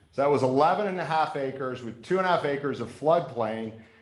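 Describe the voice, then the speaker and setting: There is audible room echo as a man talks in a fairly high pitch. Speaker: town council member. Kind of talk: public meeting remarks. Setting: council meeting chamber. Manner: loud.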